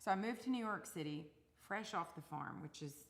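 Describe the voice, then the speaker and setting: The speaker has an East Texas accent and lively intonation. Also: woman. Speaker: singer-songwriter. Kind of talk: casual chat.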